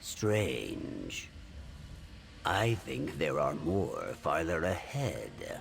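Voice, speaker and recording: A man puts on a character voice while clear background noise plays behind him. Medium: video game. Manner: formal, no contractions, self-assured.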